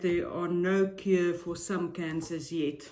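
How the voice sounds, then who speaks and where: A woman with a non-native accent speaks very slowly at a fairly low pitch. Her intonation is fairly even, with noticeable background noise. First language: not English. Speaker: tarot reader and psychic YouTuber. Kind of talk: casual vlog intro. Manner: hesitant, frequent filler ums.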